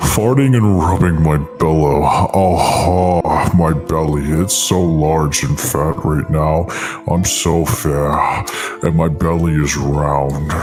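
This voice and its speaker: A man puts on a character voice and speaks very slowly, with clear background noise behind him. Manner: comedic, exaggerated.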